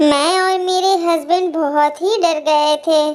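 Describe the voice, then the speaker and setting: In a cartoonish character voice, a woman speaks very slowly at an extremely high pitch. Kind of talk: animated horror story narration in first person.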